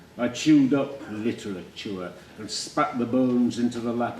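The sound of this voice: Against noticeable background noise, a man with a Yorkshire accent talks at a fairly slow pace in a medium pitch with ordinary pitch variation.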